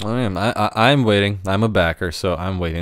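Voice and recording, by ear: A man speaks at a fairly quick pace with a low pitch and fairly even intonation. His tone is clear and smooth, on a very clean recording with a silent background.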